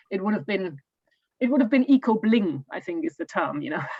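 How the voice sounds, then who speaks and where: Lively intonation and a very fast pace mark this woman speaking with a German accent. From Germany. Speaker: homeowner giving an eco home tour. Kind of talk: Q&A in online talk. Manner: halting, many fillers and repeats.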